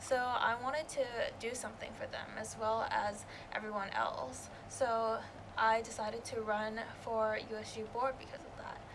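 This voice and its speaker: Flat, monotone delivery at a moderate pace, with loudness swinging widely, audible room echo and noticeable background noise. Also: woman, fairly high pitch for a woman. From Canada. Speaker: student election candidate. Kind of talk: interview.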